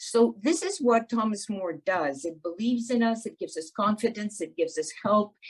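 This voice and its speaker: A woman's somewhat breathy voice sits at a fairly high pitch with lively intonation. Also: moderate pace, hardly any pauses. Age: 80s+. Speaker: seniors program participant. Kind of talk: casual chat.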